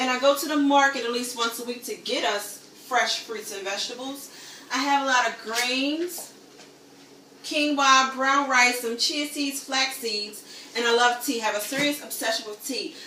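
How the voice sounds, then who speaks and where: A woman with an American accent speaks in a raised, projected voice, high-pitched and animated, over noticeable background noise. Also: moderate pace. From US, Baltimore, Maryland. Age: 30s. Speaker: home cook. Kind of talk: casual demo video.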